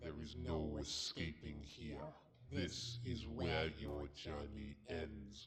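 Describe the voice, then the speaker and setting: Very slow, very deep and low-pitched: a put-on character voice from a man. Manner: menacing.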